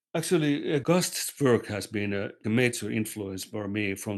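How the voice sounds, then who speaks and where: A man with a non-native accent speaks at a moderate pace in a fairly low pitch, with ordinary pitch variation against a quiet background. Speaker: occultist and artist. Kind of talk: casual chat. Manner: halting.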